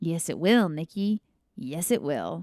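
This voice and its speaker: It's a put-on character voice at middle pitch. The delivery is raspy and fairly slow. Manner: ominous.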